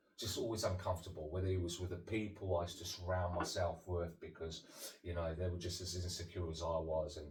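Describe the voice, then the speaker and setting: Very deep and low in pitch, a man speaks at a very fast pace in a monotone, flat intonation, with audible room echo. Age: 30s. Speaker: sobriety coach. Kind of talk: interview about life story. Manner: halting, many fillers.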